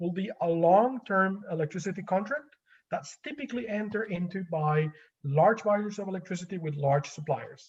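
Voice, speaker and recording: High in pitch, a man talks at a fairly quick pace with lively intonation. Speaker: energy law academic. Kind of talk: webinar lecture and Q&A. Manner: fast.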